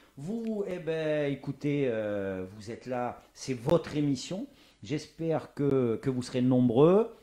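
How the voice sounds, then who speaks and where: At a very slow pace, a man with a fairly high pitch and a dark, mellow tone makes very wide pitch swings. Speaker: talk show host. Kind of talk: live talk show interview. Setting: home studio livestream. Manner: loud.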